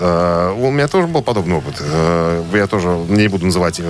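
A man's very deep, low voice with lively intonation over noticeable background noise. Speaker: radio host. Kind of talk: casual chat. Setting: studio.

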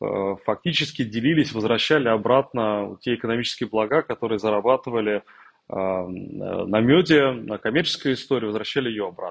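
A man speaks in a plain, everyday voice at a medium pitch. His moderate pace comes through with a dry, close sound with no echo. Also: ordinary pitch variation. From Russia, Tambov. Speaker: corporate executive. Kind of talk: interview.

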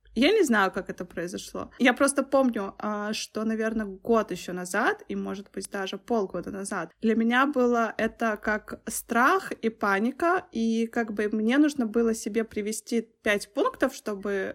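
A woman's ordinary speaking voice, fairly high in pitch, at a fairly slow pace with ordinary pitch variation. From Belarus. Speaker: visual effects artist and designer. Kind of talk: casual chat.

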